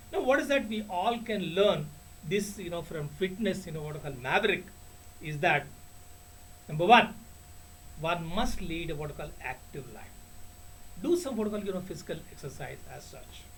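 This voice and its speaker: Pausing long and often, a man with a high voice talks at a moderate pace with lively intonation and big swings in loudness, and audible room echo surrounds him. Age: 60s. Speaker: retired banker turned teacher, motivational speaker. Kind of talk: motivational talk. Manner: halting, heavy filler phrases.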